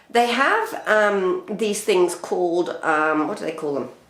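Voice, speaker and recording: A woman speaks at a medium pitch with very wide pitch swings over noticeable background noise. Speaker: urban gardener. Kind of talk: casual talk to camera.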